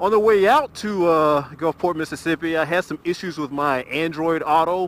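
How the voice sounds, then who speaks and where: Recorded dry with no echo and light background noise, a man with a high pitch speaks at a moderate pace with ordinary pitch variation. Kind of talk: casual vlog chat. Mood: relaxed, satisfied. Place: motorbike. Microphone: helmet.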